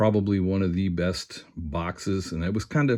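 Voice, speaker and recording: A man speaks with a very deep, low pitch. His pitch varies in an ordinary way, and the background is quiet. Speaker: sports card collector. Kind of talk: casual pack-opening commentary. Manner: fast; stuttering.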